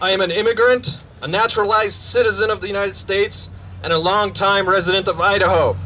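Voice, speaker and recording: Noticeable background noise sits under a raised, projected voice. It moves at a very fast pace with fairly even intonation. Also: man, high pitch for a man. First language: not English. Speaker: community member, veteran. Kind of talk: rally speech read from notes. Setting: outdoor rally with crowd.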